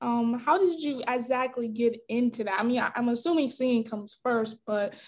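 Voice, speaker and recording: At a fairly slow pace, a woman with a normal speaking voice talks at fairly high pitch with fairly even intonation. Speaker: podcast host. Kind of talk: casual chat. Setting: video call.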